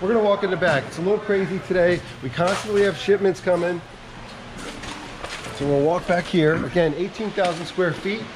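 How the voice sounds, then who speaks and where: A man talks in a high pitch. There is noticeable background noise. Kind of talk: walking tour commentary. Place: factory. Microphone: phone near.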